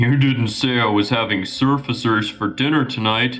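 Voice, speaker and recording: Using a put-on character voice, a man at a medium pitch talks at a moderate pace against clear background noise. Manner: jokey, amused.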